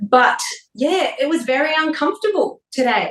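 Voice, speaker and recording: A woman with an Australian accent, lively intonation and a moderate pace. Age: 40s. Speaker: wellness expert and TV presenter. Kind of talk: casual interview chat.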